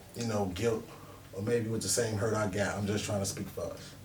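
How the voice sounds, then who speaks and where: Fairly quick speech from a man, amid noticeable background noise and audible room echo. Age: 30s. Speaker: independent music artist. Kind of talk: interview.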